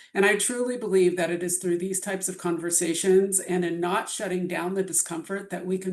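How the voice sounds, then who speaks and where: Her voice shaky and fairly low, a woman speaks at a fairly quick pace with fairly even intonation. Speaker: bioethics presenter. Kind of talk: lecture. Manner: shaky voice.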